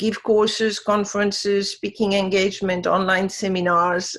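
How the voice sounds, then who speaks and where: A woman with a French accent, medium-pitched and delivered in a flat monotone. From France. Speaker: wisdom teacher. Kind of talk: interview.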